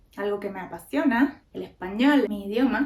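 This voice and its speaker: A woman speaks at a moderate pace with a Cuban accent and a fairly high pitch. Noticeable background noise runs underneath. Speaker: podcaster. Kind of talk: casual talk to camera.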